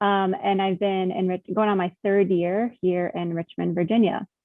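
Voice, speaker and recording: A woman with an American accent speaks at a medium pitch, her intonation monotone and flat. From North Carolina, Monroe. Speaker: attorney. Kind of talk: panel discussion.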